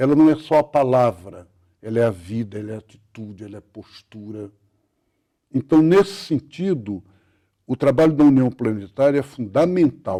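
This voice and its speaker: On a very clean recording with a silent background, a man with a medium-pitched voice and a dark, mellow tone speaks at a moderate pace with lively intonation, big swings in loudness, and long, frequent pauses. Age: 70s. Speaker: Benedictine monk and writer. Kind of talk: interview.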